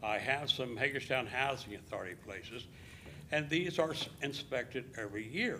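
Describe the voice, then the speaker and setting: A man with an American accent, medium pitch and moderate pace, plus audible room echo. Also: ordinary pitch variation. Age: 70s. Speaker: landlord speaking at public comment. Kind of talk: public comment at council meeting. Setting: city council chamber. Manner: unscripted, hesitant with fillers.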